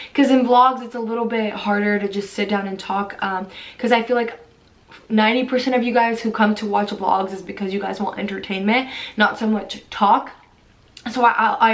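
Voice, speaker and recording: Noticeable background noise and audible room echo surround a voice with monotone, flat intonation. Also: woman. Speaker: fitness vlogger. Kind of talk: casual chat. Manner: fast.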